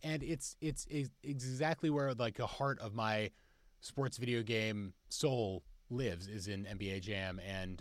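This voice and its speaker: On a very clean recording with a silent background, a man with an unremarkable speaking voice speaks at a fairly low pitch with ordinary pitch variation. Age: 30s. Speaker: company executive and gamer guest. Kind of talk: casual chat.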